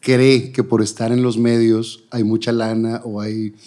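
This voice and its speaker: In a very clean recording with a silent background, a man with an ordinary speaking voice talks at a fairly slow pace and medium pitch. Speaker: TV presenter, interview host. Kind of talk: casual interview.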